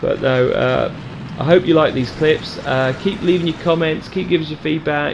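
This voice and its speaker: A man speaks with a British accent and ordinary pitch variation. Noticeable background noise runs under his voice. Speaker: video game tutorial creator. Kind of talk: tutorial. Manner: fast; hesitant, many fillers.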